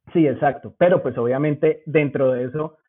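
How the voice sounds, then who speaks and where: A man with a Bogotá accent talks at a fairly slow pace with fairly even intonation. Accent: Bogotá (rolo) Spanish. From Zipaquirá, Colombia. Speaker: cannabis industry worker. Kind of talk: casual interview.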